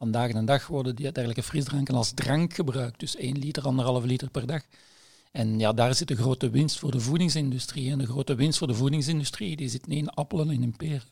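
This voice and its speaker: Speaking at a very fast pace, a man sounds somewhat breathy. His pitch is medium and his intonation fairly even. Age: 60s. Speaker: nutritionist and epidemiologist, editor. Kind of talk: casual chat.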